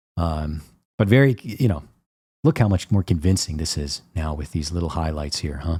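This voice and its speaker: At a moderate pace, a somewhat breathy man speaks in a very deep, low pitch with lively intonation. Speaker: painter and art teacher. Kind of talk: tutorial. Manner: casual, with many fillers.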